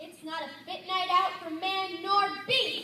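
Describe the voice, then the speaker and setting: A put-on character voice at an extremely high pitch and a fairly slow pace, with clear echo and clear background noise. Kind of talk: comic church skit. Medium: stage play. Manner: repetitive, gloomy.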